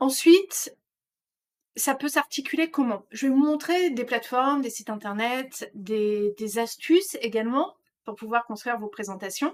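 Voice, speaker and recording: A woman speaks at a high pitch and a fairly slow pace. Her intonation is lively, with big swings in loudness. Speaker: trainer; trainer presenting slides. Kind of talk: online course lecture. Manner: hesitant, many fillers. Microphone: webcam.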